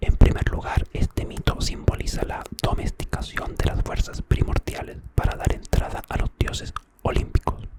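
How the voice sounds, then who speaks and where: A man whispers at a moderate pace with hardly any pauses. Noticeable background noise sits underneath. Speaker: ASMR creator. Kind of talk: ASMR myth storytelling for sleep. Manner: soft-spoken, whispered.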